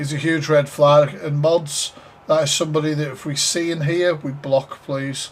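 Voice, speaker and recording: The speaker, with a northeast English accent, talks at a moderate pace. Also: man. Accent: northeast England. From northeast England, Sunderland. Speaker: live stream reaction host. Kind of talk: casual live stream reaction commentary. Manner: animated.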